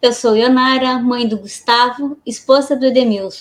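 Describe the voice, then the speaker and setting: At a fairly slow pace, a woman speaks in a high, monotone voice with flat intonation. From Blumenau, Santa Catarina, Brazil. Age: 40s. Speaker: podcast co-host. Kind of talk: self-introduction in podcast.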